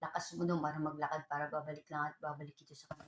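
A woman with a very deep, low pitch, talking at a very fast pace. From Philippines. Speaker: vlogger. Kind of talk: casual vlog complaint.

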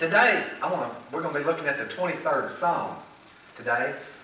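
With audible room echo and light background noise, a man speaks at a fairly high pitch. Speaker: preacher. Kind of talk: church sermon. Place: church.

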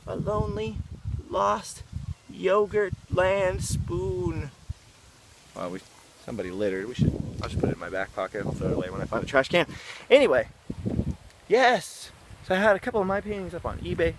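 Over noticeable background noise, a man speaks at a fairly quick pace but leaves long, frequent pauses. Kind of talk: casual vlog talk to camera. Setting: outdoors. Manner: low-energy.

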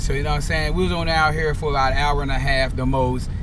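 A man speaks at a fairly quick pace in a dry sound with no echo, with noticeable background noise behind him. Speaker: vlogger. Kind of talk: casual vlog chat. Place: car. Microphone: phone near.

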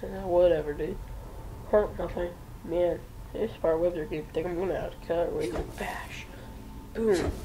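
The speech has long, frequent pauses, with noticeable background noise behind it. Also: moderate pace. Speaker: gaming video creator. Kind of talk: casual gameplay commentary. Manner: playful, upbeat.

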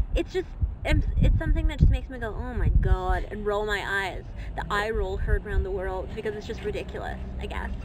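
At a fairly quick pace, a woman speaks with big swings in loudness against noticeable background noise. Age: 20s. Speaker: podcast co-host. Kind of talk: casual chat. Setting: outdoors.

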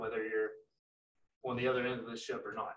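A man with an American accent, in a room with audible echo. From West Virginia. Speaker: sales manager. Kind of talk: product presentation. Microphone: video call.

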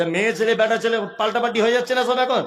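A man with a high voice speaks against noticeable background noise. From West Bengal, India. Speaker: Islamic preacher. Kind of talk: sermon. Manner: animated.

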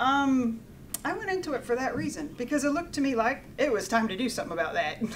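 Very fast and with very wide pitch swings, a woman with an American accent speaks at a high pitch over light background noise. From USA. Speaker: engineering professor. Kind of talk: lecture. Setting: stage with audience. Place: meeting room.

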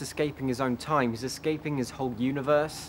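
A man talks at a fairly quick pace over light background noise. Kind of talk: reflective monologue to camera. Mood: wistful, reflective.

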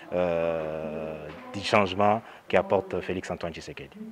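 Over noticeable background noise, a man talks at a fairly slow pace with fairly even intonation. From DR Congo. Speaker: party youth leader. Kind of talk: speech. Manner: halting.

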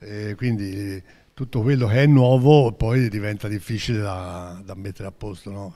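Over a quiet background, a man with a fairly low pitch and a dark, mellow tone talks at a fairly slow pace with hardly any pauses, ordinary pitch variation and big swings in loudness. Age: 80s+. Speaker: billiards player. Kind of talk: post-match interview. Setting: venue floor with spectators. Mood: calm, accepting defeat. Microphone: handheld.

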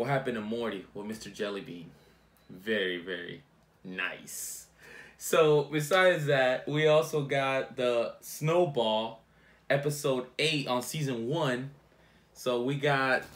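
At a fairly slow pace, a man speaks with lively intonation. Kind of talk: casual vlog chat. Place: home room. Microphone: phone near.

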